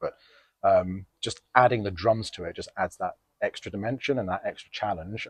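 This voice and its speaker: A man's somewhat breathy voice at a moderate pace, with ordinary pitch variation and a dry, close sound with no echo. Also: fairly low pitch for a man. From West London. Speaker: guitarist, blues musician. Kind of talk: interview answer. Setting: venue, open mic night.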